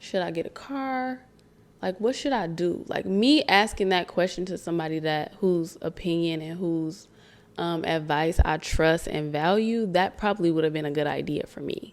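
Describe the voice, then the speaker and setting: With an American accent, a woman talks at a moderate pace in a fairly low pitch with ordinary pitch variation, on a very clean recording with a silent background. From Michigan (Romulus/Detroit). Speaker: podcast host. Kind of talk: casual talk to camera. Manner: animated.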